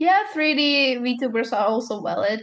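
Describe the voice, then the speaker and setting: A woman with a Czech accent, at a fairly slow pace. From Czech Republic. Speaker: vtuber streamer. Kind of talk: podcast interview. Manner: halting.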